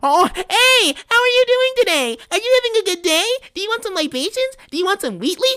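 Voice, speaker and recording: A squeaky, put-on character voice runs at a fairly quick pace with extremely high pitch. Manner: mocking, chirpy.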